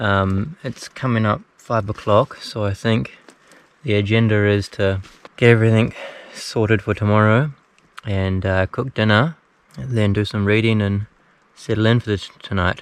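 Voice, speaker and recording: A man with a New Zealand accent speaks at a moderate pace and fairly low pitch. His pitch varies in an ordinary way, and he takes long, frequent pauses. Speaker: hiker vlogger. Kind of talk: travel vlog. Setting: outdoors. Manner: casual, with fillers.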